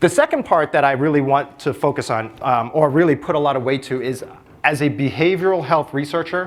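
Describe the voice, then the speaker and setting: A man's fairly high voice at a fairly quick pace. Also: ordinary pitch variation. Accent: American. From New York City (Brooklyn). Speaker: public health researcher. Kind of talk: conference talk.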